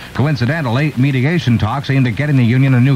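A man rattles along at a very fast pace while noticeable background noise fills the recording. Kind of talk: radio newscast read. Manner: brisk, formal, crisp news-anchor delivery.

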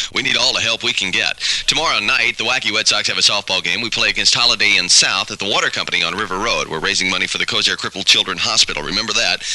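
An upbeat man talks at a very fast pace with hardly any pauses. There is noticeable background noise behind him. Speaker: radio DJ. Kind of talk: 1970s top-40 radio DJ patter: weather, song plugs, promos. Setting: radio broadcast. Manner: fast, upbeat, jokey, ad-libbing.

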